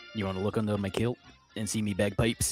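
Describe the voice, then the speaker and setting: In a put-on character voice with a Scottish accent, a man rattles along at a very fast pace and a fairly low pitch, with faint music in the background. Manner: cheeky, comedic.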